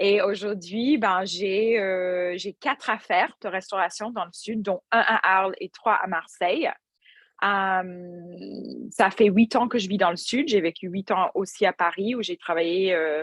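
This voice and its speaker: A woman speaks with an English Canadian accent in a dry, close sound with no echo. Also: medium pitch for a woman, ordinary pitch variation, fairly slow pace. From English-speaking Canada. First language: English (speaking French). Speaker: restaurant entrepreneur and yoga teacher. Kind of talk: podcast interview. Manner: hesitant, many fillers.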